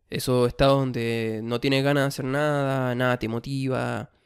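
Medium pitch from a man with a Chilean accent, fairly slow and monotone with flat intonation, in a very clean recording with a silent background. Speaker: podcast host. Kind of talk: self-help monologue.

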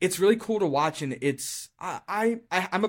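In a very clean recording with a silent background, a plain, everyday voice with an American accent moves at a moderate pace with lively intonation. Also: man. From Maryland, Carroll County. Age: 20s. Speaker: high school science teacher. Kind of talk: casual interview.

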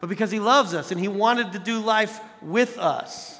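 A man with a high pitch speaks in an animated tone, using a raised, projected voice. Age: 40s. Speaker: youth pastor. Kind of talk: sermon.

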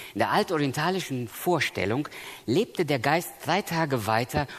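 This man speaks with lively intonation. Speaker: preacher. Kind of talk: sermon. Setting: church seminar with audience. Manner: earnest, emphatic.

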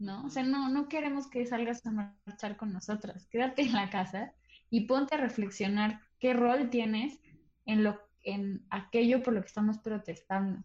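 A woman talks fairly slowly in a somewhat breathy voice, her pitch varying in an ordinary way. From Mexico City. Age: 20s. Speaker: theatre director and cultural manager. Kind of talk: casual chat.

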